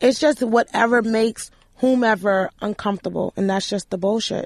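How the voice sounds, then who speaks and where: Against a quiet background, a woman with a New York accent speaks at a fairly high pitch and a moderate pace. Her intonation is fairly even, and the sound is dry and close with no echo. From New York, Manhattan. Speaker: podcast co-host. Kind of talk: casual chat. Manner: loud.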